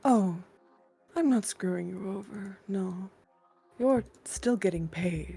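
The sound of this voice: A woman puts on a character voice with a dark, mellow tone, a slightly husky edge and vocal fry. She speaks slowly at a medium pitch, with ordinary pitch variation.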